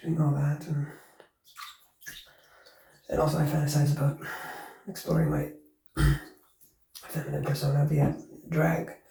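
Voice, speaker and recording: Pausing long and often, a man with a fairly high pitch speaks at a moderate pace in a monotone, flat intonation. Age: 30s. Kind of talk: casual personal ramble. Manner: low-energy, subdued.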